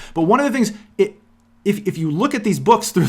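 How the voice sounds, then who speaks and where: A man talks at a fairly quick pace with very wide pitch swings. Vocal fry runs through his voice. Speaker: philosophy podcast host. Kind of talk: monologue podcast. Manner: fast, halting with many restarts.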